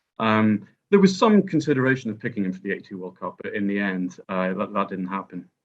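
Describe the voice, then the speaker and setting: A man with a Northern Irish accent. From Northern Ireland. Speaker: historian and author. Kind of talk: podcast discussion.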